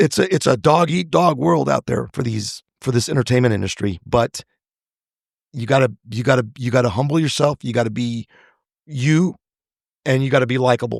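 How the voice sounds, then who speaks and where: Vocal fry and lively intonation at a moderate pace, with a dry, close sound with no echo and a quiet background. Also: man, medium pitch for a man. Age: 60s. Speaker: actor and screenwriter. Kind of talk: interview conversation.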